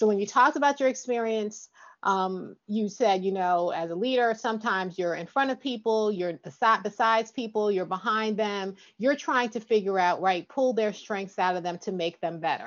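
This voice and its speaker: A woman's medium-pitched, normal speaking voice at a moderate pace, with ordinary pitch variation. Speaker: podcast host. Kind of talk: interview conversation.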